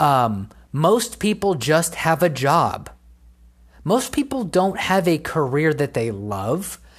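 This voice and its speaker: Speaking very slowly with vocal fry, a woman uses a very deep, low pitch that swings very widely. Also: very even loudness. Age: 20s. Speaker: podcast host. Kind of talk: solo commentary rant. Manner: casual, filler-heavy.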